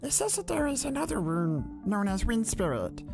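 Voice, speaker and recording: Over clear background music, a speaker uses a fairly high put-on character voice. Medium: actual play. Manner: polite, earnest, slightly rambling.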